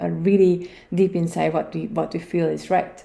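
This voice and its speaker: A woman speaks with a Hungarian accent. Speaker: podcast host. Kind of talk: solo podcast talk. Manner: hesitant, many fillers.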